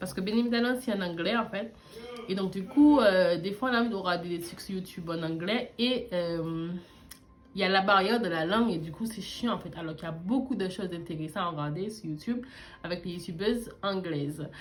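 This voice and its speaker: The speech moves at a fairly quick pace with ordinary pitch variation and audible room echo. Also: woman, medium pitch for a woman. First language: not French; learned French at age twelve (speaking French). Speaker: beauty YouTuber. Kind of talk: casual vlog storytelling while doing makeup. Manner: casual, with frequent hesitations.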